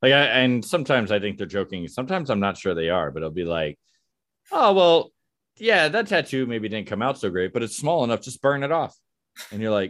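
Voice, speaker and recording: A man with an American accent at a fairly quick pace, his pitch swinging very widely, on a very clean recording with a silent background. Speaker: podcast host. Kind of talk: casual interview chat. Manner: jokey, laughs often.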